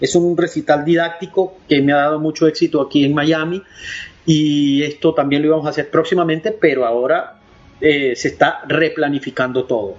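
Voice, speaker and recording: Music plays behind a man speaking with a Venezuelan accent at a fairly high pitch. He keeps a moderate pace and fairly even intonation. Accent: mild Venezuelan. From Venezuelan Andes (Valera). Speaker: opera tenor. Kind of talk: interview.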